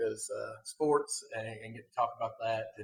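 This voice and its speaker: Here a man speaks with an Appalachian accent. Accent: Appalachian Southern US. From Kentucky (eastern mountains, then Somerset). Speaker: podcast host, youth sports coach. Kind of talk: casual podcast chat. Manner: hesitant, many filler words.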